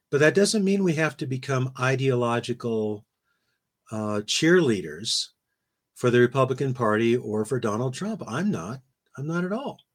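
In a very clean recording with a silent background, a man with a normal speaking voice and medium pitch talks at a moderate pace with lively intonation. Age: 60s. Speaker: philosophy professor. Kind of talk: interview conversation.

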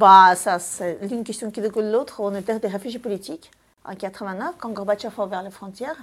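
A woman with a Russian accent, medium in pitch, at a fairly quick pace. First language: Russian (speaking French). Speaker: film director and screenwriter. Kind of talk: interview.

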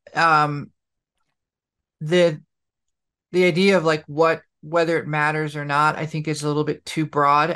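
A woman speaks at a moderate pace in a very deep, low voice with monotone, flat intonation. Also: very clean recording, silent background. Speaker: podcast co-host. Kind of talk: casual chat, storytelling.

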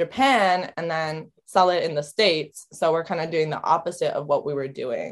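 Against a quiet background, the speaker uses a Californian accent at a moderate pace. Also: woman. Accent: Californian American. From San Francisco Bay Area. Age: 20s. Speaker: artist and family boutique owner. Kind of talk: casual interview chat.

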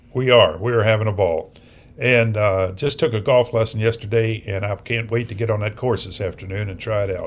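A somewhat breathy man talks at a fairly quick pace with fairly even intonation. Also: medium pitch for a man. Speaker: business consultant and investor. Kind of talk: casual storytelling interview.

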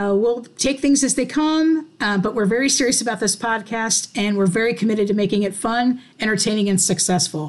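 Fairly quick and somewhat breathy, this woman's fairly high voice keeps very even loudness and ordinary pitch variation. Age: 40s. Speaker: podcast co-host. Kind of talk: casual chat.

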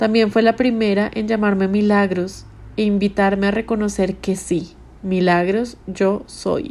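With an ordinary speaking voice at a medium pitch, a woman talks with fairly even intonation in a very clean recording with a silent background. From Colombia, Bogotá. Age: 30s. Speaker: podcast host. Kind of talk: scripted narration. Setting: hotel room.

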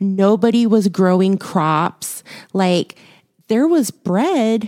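A woman with an American accent speaks at medium pitch in a dark, mellow tone, the sound dry and close with no echo. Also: very clean recording, silent background. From Houston, Texas. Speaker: podcast co-host, movie reviewer. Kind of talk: casual chat.

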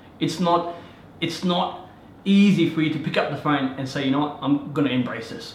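With an Australian accent, a man speaks in an energetic tone at a fairly high pitch, with noticeable background noise and audible room echo. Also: ordinary pitch variation, moderate pace. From Afghanistan. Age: 30s. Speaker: real estate agent. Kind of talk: interview.

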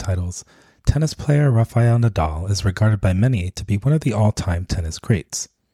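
A man speaks at a fairly quick pace in a fairly low pitch, with a dark, mellow tone and a somewhat breathy quality. The recording is very clean with a silent background, and the sound is dry and close with no echo. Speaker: podcast host. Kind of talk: scripted narration.

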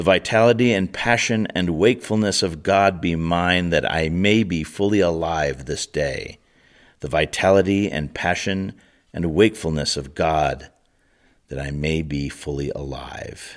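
A man speaks at a very deep, low pitch. His pace is fairly slow. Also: ordinary pitch variation, very clean recording, silent background. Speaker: prayer leader. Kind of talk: fervent liturgical prayer, rhythmic repeated invocations. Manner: solemn, incantatory repetition; slow, reverent.

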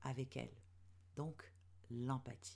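Her tone dark and mellow with vocal fry, a woman speaks at a very slow pace. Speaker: podcast host, web strategist and mentor for women entrepreneurs. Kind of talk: solo podcast monologue. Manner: hesitant, many fillers.

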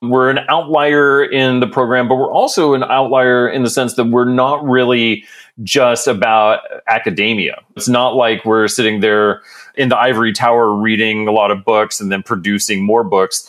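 A man in a plain, everyday voice with an American accent, medium in pitch, fairly even in intonation and very even in loudness, at a moderate pace on a very clean recording with a silent background. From Texas. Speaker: community economic development program director. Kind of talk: interview. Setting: studio.

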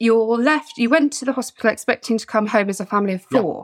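Recorded with a dry, close sound and no echo, a woman with an English accent speaks at a fairly high pitch. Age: middle-aged. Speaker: podcast host. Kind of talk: casual chat. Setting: video call.

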